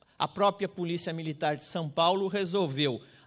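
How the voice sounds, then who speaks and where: A man speaks at a moderate pace in a normal speaking voice, fairly high in pitch with ordinary pitch variation, over a quiet background. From Brazil. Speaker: public security researcher; speaker. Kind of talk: conference talk. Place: hall. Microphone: handheld.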